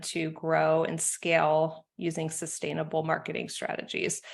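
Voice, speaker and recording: A woman with an American accent speaks at a very deep, low pitch. Vocal fry runs through her voice. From United States. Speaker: marketing consultant. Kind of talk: podcast interview.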